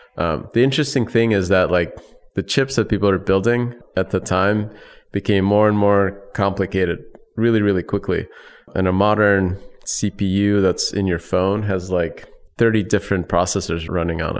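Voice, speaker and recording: With an American accent, a man in an ordinary speaking voice talks at a moderate pace, fairly low in pitch with fairly even intonation, on a very clean recording with a silent background. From US Midwest, Chicago area. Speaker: tech company founder and CEO. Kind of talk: interview.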